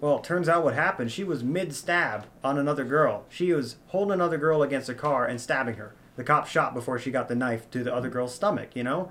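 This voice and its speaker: A fairly quick-paced man with a fairly high pitch, ordinary pitch variation and an unremarkable speaking voice. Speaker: friend calling in. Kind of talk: casual chat.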